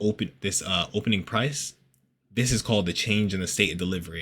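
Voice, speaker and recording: Against a very clean, silent background, a man speaks in a bright, sharp, animated tone with ordinary pitch variation. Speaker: forex trading educator. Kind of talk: tutorial. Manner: fast; casual, animated.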